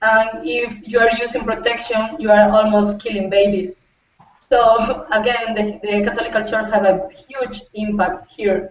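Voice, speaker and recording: A woman's fairly high voice in a Spanish accent, with fairly even intonation and a fairly slow pace. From Costa Rica. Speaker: youth advocate, political science student. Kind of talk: panel discussion. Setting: video call. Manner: halting.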